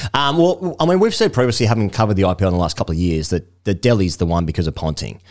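Talking at a very fast pace, a man with an Australian accent uses lively intonation and a fairly low pitch, in a very clean recording over a silent background. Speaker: cricket podcast host. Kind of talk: casual chat. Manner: animated.

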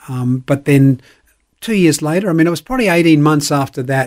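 Talking at a fairly quick pace, a man has an Australian accent. His fairly high voice carries lively intonation. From South Australia, born in Northern Ireland. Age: 70s. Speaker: pastor and sports chaplain. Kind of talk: radio interview. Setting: studio.

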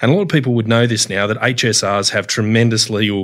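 A man with an Australian accent speaks at a medium pitch and a fairly quick pace. His intonation is fairly even, on a very clean recording with a silent background. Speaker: union official. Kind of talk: casual chat.

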